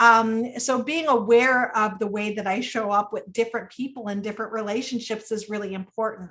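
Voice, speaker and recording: Loud and at a fairly quick pace, a woman with a fairly high pitch speaks with fairly even intonation and hardly any pauses. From United States, Sicilian-American family. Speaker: webinar speaker, women's wellness educator. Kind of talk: webinar talk. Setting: online webinar. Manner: naturally loud; conversational with frequent fillers.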